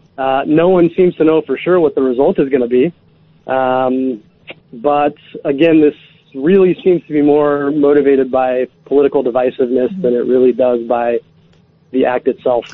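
A normal speaking voice from a man with an American accent, at a fairly high pitch, a moderate pace and ordinary pitch variation. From Alaska, Anchorage. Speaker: caller. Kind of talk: phone-in chat. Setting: phone call.

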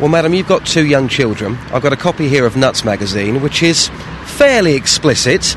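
A man at fairly high pitch with an animated tone, lively intonation, a fairly quick pace and very even loudness, over noticeable background noise. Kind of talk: casual radio chat. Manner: animated, jokey.

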